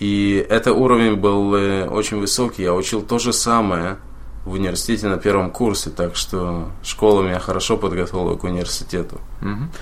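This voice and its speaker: A man's fairly low voice with fairly even intonation at a fairly quick pace, with audible room echo. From Moldova (Chisinau), former Soviet Union. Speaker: computer programmer. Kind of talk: casual interview chat.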